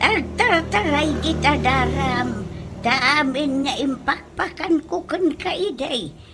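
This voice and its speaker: A high-pitched, put-on character voice goes at a very slow pace. Background noise is clearly heard. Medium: audio drama. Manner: scolding.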